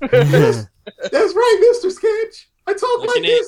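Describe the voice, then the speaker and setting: This is a put-on character voice at an extremely high pitch. The delivery is very slow. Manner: nerdy, nasal.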